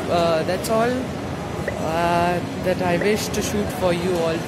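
A man's voice is heard with music behind it. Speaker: travel vlogger. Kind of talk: casual vlog chat. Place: station. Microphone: phone near.

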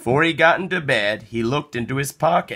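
A man's bright, sharp tone carries a slightly husky edge.

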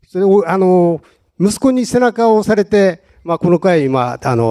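A man's voice, dark and mellow in tone, moves through very wide pitch swings. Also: quiet background. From Hokkaido, small northern island. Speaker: tuna fisherman; guest. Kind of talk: live talk show. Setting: event studio with live audience. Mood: earnest, animated at times. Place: hall. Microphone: handheld.

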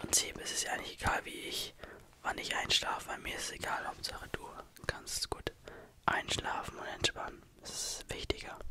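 A man is whispering. He keeps a moderate pace. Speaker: ASMR creator. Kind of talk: soft ASMR roleplay chat. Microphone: studio mic.

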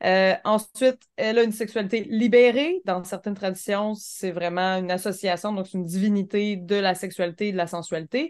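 A woman's unremarkable speaking voice at medium pitch, moderate in pace, with hardly any pauses and ordinary pitch variation. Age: 30s. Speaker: podcast co-host. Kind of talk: casual chat.

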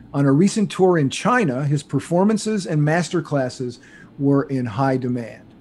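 A dark, mellow, somewhat breathy tone at a moderate pace, with lively intonation. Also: man. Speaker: podcast host. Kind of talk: reading a guest introduction. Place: home room. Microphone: studio mic.

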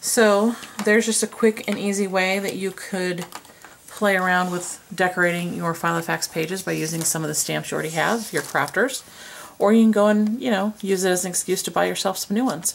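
A quiet woman's voice at a medium pitch with ordinary pitch variation and a fairly quick pace, over light background noise. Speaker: planner decorating vlogger. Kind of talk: casual talk to camera. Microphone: camera far.

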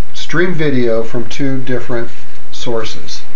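Over light background noise, a man talks at a fairly slow pace with ordinary pitch variation. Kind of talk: product demonstration. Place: office. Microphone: camera far.

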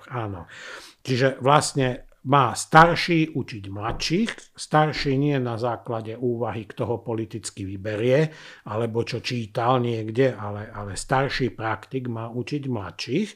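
A man speaks fairly slowly, his pitch varying in an ordinary way, with a quiet background. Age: 50s. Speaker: former criminal profiler. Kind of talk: interview. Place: studio. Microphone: studio mic.

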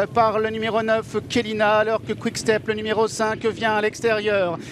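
Over noticeable background noise, a man speaks at a fairly slow pace with a high pitch. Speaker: horse race commentator. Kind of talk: live horse race commentary. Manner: rising intensity toward the finish.

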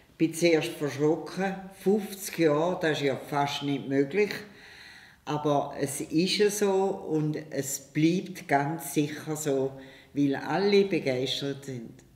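Speaking at a very slow pace, a woman with a very deep, low pitch shows ordinary pitch variation, and audible room echo surrounds her. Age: 80s+. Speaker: gymnastics teacher, founder of parent-child gymnastics. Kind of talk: interview answer. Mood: warm, cheerful. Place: home room.

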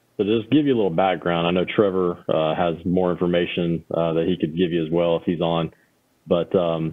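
Very deep and low in pitch, a man talks at a fairly quick pace. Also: fairly even intonation, quiet background. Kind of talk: meeting briefing. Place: office. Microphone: video call.

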